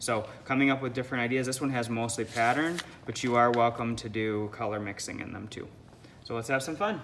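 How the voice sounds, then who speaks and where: A man speaks in a plain, everyday voice at a medium pitch. He moves at a fairly quick pace with fairly even intonation. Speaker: art teacher. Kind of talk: tutorial.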